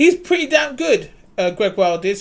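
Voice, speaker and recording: A man with a London accent speaks at a moderate pace. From London, England. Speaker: basketball commentator YouTuber. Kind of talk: casual video commentary. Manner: animated.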